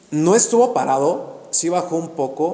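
A man talks over noticeable background noise. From Mexico, Actopan, Hidalgo. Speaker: real estate podcast host, architect. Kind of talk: casual interview chat.

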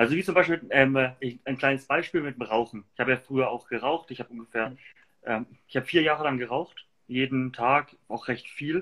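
A man's moderate-paced speech in a Franconian accent, medium in pitch with ordinary pitch variation and a bright, sharp tone. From Germany, Würzburg (Lower Franconia). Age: 20s. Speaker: entrepreneur. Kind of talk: casual interview. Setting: livestream.

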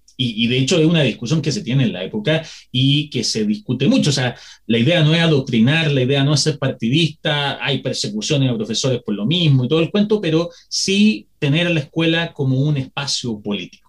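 A man talks at a fairly quick pace with a fairly high pitch and lively intonation. His voice is somewhat breathy. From Chile. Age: 30s. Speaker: historian and educator. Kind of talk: educational interview.

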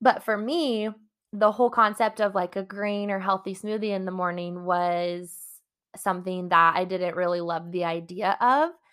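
A plain, everyday voice, a woman at medium pitch, moderate pace and fairly even intonation. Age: 20s. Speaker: personal development podcast host and coach. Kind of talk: solo podcast monologue.

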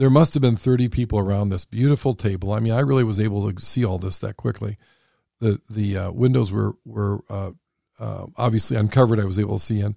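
A man's fairly low, dark, mellow voice with an American accent, very fast delivery and fairly even intonation, in a very clean, dry, close recording with a silent background and no echo. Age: 60s. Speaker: podcast host. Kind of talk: casual chat. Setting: studio.

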